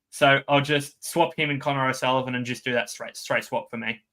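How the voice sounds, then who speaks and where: A man with an Australian accent, a fairly high pitch and a bright, sharp tone, with fairly even intonation on a very clean recording with a silent background. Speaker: fantasy sports podcast co-host. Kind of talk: casual chat.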